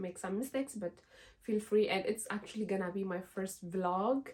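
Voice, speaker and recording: A woman with an Ethiopian accent, medium in pitch, at a moderate pace with ordinary pitch variation. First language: Amharic. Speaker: lifestyle vlogger. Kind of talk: casual vlog talk to camera. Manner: hesitant, many fillers.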